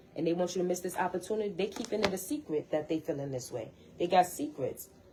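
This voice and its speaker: A woman speaks at a fairly quick pace. Noticeable background noise can be heard. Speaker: tarot card reader. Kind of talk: tarot reading. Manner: fast, repetitive.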